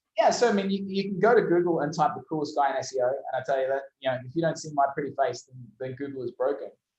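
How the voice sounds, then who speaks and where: An Australian-accented man with a fairly high pitch talks at a very fast pace with hardly any pauses, ordinary pitch variation, and big swings in loudness. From Australia, Brisbane. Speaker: SEO agency owner. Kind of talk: interview. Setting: video call. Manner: animated.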